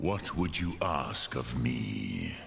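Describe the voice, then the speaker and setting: A man puts on a character voice with a very deep, low pitch. Background noise is clearly audible. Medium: video game. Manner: slow, measured, grave, sprinkled with dragon words.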